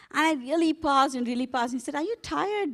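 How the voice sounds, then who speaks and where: With an Indian accent, the speaker goes at a very fast pace with lively intonation. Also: woman, very clean recording, silent background. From India, Hyderabad. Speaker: global health executive. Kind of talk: keynote speech.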